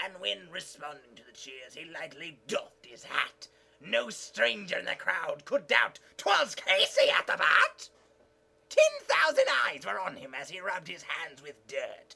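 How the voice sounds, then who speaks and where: A put-on character voice is performed here at a moderate pace. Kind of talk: poetry reading.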